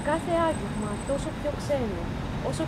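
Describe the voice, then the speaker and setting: Over loud background noise, a woman talks at a moderate pace. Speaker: poet. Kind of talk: poem performed in Greek. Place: forest.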